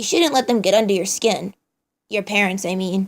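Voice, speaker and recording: In a very clean recording with a silent background, a raspy put-on character voice moves at a moderate pace. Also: woman, medium pitch for a woman. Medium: read story. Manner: casual slangy, upbeat.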